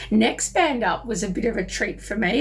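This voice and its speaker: A woman speaks in an animated tone with an Australian accent, her pitch fairly high. Noticeable background noise sits under her voice. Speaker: music reviewer. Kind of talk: casual vlog review.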